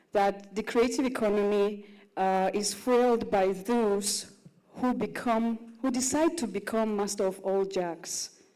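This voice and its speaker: With audible room echo, a woman speaks at a fairly slow pace and medium pitch, using ordinary pitch variation. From Russia. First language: Russian. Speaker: content creator and actress. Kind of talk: panel talk at live conference.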